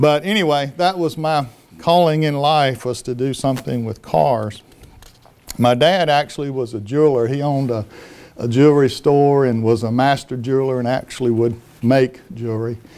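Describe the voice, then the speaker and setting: This man has a Southern US accent and a medium pitch. He talks at a moderate pace with ordinary pitch variation. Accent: Southern US (Georgia). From US South (Americus, Georgia). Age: 60s. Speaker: former technology executive. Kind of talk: talk to an audience.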